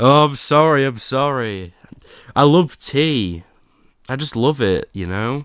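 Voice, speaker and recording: Lively intonation marks a man's medium-pitched voice. He speaks very slowly, with long, frequent pauses. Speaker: streamer. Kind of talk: casual live stream chat. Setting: live stream.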